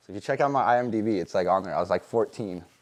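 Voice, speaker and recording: A man with an American accent talks very fast. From US Pacific Northwest, Seattle. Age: 20s. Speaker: tattoo artist. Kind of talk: interview. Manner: casual, filler-heavy.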